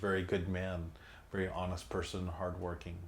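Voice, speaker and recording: Over audible room echo, a man with a Filipino accent speaks at a very deep, low pitch in a monotone, flat intonation. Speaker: son of a labor leader, oral history interviewee. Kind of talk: oral history interview. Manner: halting, many fillers and repetitions.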